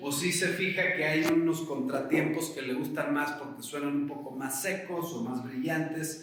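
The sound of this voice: In a room with strong echo, a man with a fairly high pitch and fairly bright tone talks at a fairly slow pace with ordinary pitch variation.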